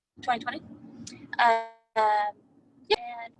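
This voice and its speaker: Noticeable background noise is present in this clip. The woman speaking has a fairly high pitch. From New Mexico. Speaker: direct sales consultant and director. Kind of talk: team video call introductions. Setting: video call.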